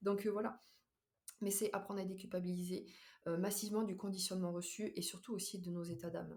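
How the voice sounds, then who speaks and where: Her voice is somewhat breathy and medium in pitch, with fairly even intonation as this woman talks at a fairly quick pace broken by long, frequent pauses. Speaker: podcaster and nurse. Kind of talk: casual monologue. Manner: fast; hesitant with fillers.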